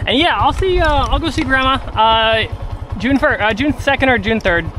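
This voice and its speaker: Over noticeable background noise, a man with an American accent talks at a moderate pace in an extremely high pitch, his intonation lively and his loudness very even. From US, Colorado. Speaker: travel livestreamer. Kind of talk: casual livestream chat.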